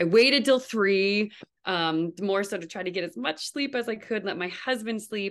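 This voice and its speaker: A woman with a Canadian accent uses a normal speaking voice at a medium pitch. Her intonation is lively, and the background is quiet. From Canada, New Brunswick. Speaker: physical therapist and new mother. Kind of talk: interview, personal birth story.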